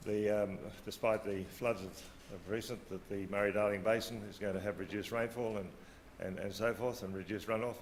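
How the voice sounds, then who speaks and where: In an Australian accent, a man with a fairly low pitch talks at a fairly quick pace amid audible room echo. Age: 60s. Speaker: agriculture policy official. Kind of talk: conference talk. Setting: conference stage with audience. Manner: hesitant, many fillers.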